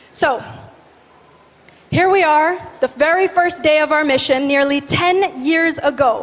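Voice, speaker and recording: Energetic in tone, a woman speaks at a fairly slow pace with ordinary pitch variation. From Indonesia, Bali. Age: 20s. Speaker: youth activist. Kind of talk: conference talk. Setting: stage with audience.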